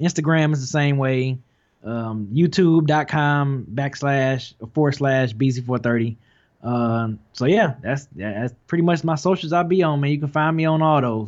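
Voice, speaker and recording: Speaking at a fairly slow pace, a man with an American accent has a fairly high pitch. His is a normal speaking voice with ordinary pitch variation. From Detroit. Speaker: hip hop YouTuber. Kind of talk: casual chat.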